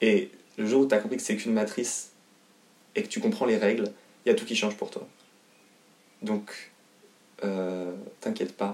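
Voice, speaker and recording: Long pauses come often in this man's speech. His pace is moderate. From France, Haute-Savoie. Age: 20s. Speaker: singer and actor. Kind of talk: interview. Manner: halting, many fillers.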